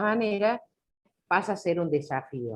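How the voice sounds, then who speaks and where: Very wide pitch swings at a fairly slow pace. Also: woman. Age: 60s. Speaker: law teacher. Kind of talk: video call workshop discussion. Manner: halting.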